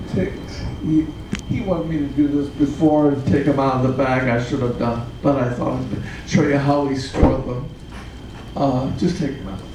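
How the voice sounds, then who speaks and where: Noticeable background noise sits behind a man whose fairly high pitch shows ordinary variation as he speaks at a moderate pace. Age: 80s+. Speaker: puppeteer. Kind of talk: interview answer. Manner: casual, reminiscing.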